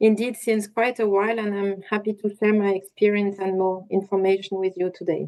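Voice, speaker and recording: Her voice has a dark, mellow tone, and this woman speaks at a medium pitch. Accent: French. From France. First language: French. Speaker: industry association policy manager. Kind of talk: webinar presentation. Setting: online webinar.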